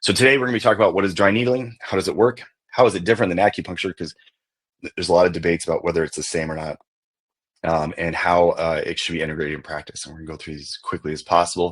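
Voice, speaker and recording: In a put-on character voice, a man speaks very fast with a very deep, low, raspy pitch, an excited tone and big swings in loudness. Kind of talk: presenter. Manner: very fast, excited.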